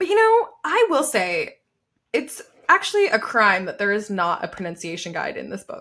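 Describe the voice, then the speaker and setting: A woman with an American accent speaks in a raised, projected voice at a moderate pace, her high, bright, sharp tone animated, with very wide pitch swings and big swings in loudness. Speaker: book podcast co-host. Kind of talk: casual chat.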